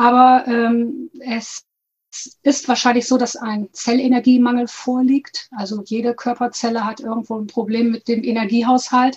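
A woman speaks at a high pitch and a moderate pace. Her intonation is monotone and flat. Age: 50s. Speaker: health and nutrition coach. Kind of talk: interview.

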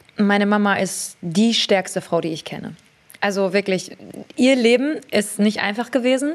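This woman's voice sits at a medium pitch and moves at a moderate pace. It is an unremarkable speaking voice. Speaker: beauty entrepreneur and fragrance creator. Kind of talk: casual interview chat.

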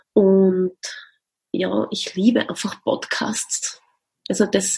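Somewhat breathy female voice, dark and mellow in tone. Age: 40s. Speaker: music educator and business founder. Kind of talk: interview.

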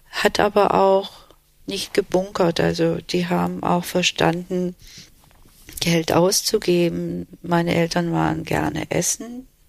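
A woman speaks at a very slow pace, leaving long, frequent pauses. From Germany (Swabia) and Istanbul, Turkey. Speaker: court interpreter and translator. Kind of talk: interview. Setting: living room in Berlin.

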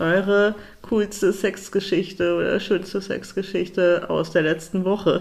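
Flat and monotone in intonation, a woman speaks fairly slowly. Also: medium pitch for a woman, very even loudness. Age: 30s. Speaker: podcast co-host. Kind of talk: casual chat.

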